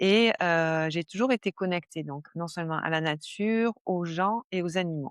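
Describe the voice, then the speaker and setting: A woman speaks fairly slowly with hardly any pauses and ordinary pitch variation, in a dry, close sound with no echo. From southern France (Var). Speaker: stress management coach, former nurse. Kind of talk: podcast interview. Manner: hesitant, many fillers.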